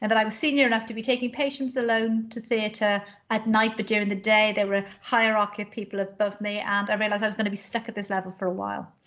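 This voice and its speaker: Very fast speech with hardly any pauses. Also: woman, fairly high pitch for a woman. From South Wales. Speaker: doctor and medical college leader. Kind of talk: interview.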